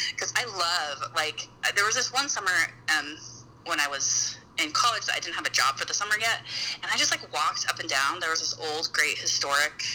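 Noticeable background noise sits behind the speaker. A woman with an American accent talks at a fairly quick pace. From Utah. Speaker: mother, podcast guest. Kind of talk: casual chat.

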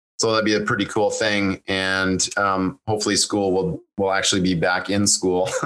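This man, with an ordinary speaking voice, talks at a moderate pace with a fairly low pitch and fairly even intonation. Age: 40s. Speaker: real estate investor and coach. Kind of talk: interview.

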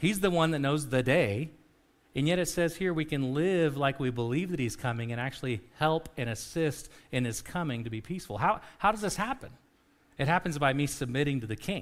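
In a normal speaking voice, a man with a fairly high pitch talks at a fairly quick pace with lively intonation, on a very clean recording with a silent background. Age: 40s. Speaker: pastor. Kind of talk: sermon.

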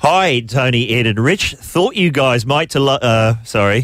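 This man speaks with an Australian accent. His pitch moves with ordinary variation. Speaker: radio host. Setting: studio.

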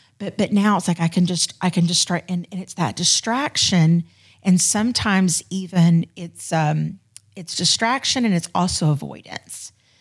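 A somewhat breathy woman at fairly low pitch and moderate pace, with ordinary pitch variation, on a very clean recording with a silent background. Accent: American. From Florida. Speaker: church ministry volunteer. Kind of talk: casual chat.

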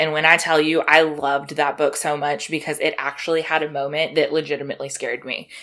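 Moderately paced woman with an American accent and very deep, low pitch, on a very clean recording with a silent background. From South Carolina. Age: 30s. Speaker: podcast host. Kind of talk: casual chat.

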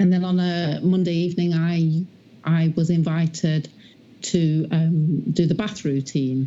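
A woman speaks slowly in a low pitch with a dark, mellow tone.

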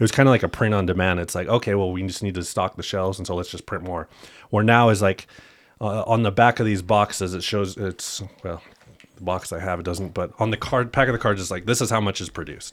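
Very deep and low, a man's voice rushes along at a very fast pace with fairly even intonation. The recording is very clean, with a silent background. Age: 30s. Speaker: sports card collector and trader. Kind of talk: casual interview.

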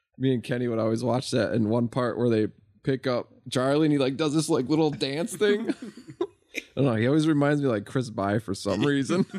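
Medium in pitch and very even in loudness, a man talks at a fairly quick pace with ordinary pitch variation in an ordinary speaking voice. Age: 40s. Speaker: podcast co-host. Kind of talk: casual chat.

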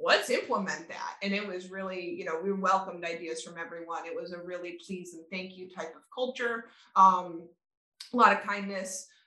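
A woman with a normal speaking voice speaks at a medium pitch and moderate pace, her intonation fairly even and her loudness swinging widely. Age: 30s. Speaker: event venue owner. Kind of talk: interview.

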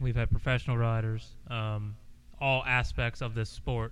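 In an American accent, a man of medium pitch talks at a fairly slow pace with audible room echo. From Pennsylvania. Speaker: podcast co-host. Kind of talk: casual chat.

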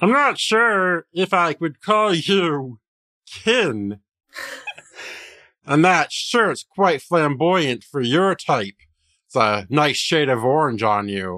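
A man's put-on character voice, raspy and fairly high, with very wide pitch swings, a very slow pace and long, frequent pauses. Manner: haughty, judging.

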